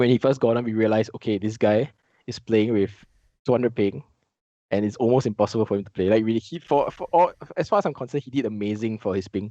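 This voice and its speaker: In a Singaporean accent, a man talks very fast in a dark, mellow, medium-pitched voice with ordinary pitch variation and a dry, close sound with no echo. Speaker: esports coach. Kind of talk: casual chat.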